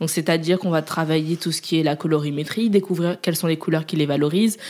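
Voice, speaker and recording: A woman's voice with ordinary pitch variation. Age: 20s. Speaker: agency founder. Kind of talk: casual interview.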